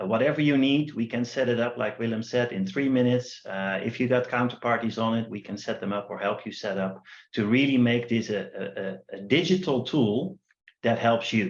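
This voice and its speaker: A man at medium pitch with a Dutch accent, a fairly quick pace and ordinary pitch variation. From Netherlands. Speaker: company founder presenting a trading platform. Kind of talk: online workshop presentation.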